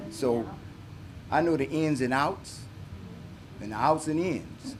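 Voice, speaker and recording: Audible room echo around fairly slow talking with ordinary pitch variation. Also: man. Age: 60s. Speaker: mayoral candidate, city worker. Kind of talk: campaign speech. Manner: halting, with fillers.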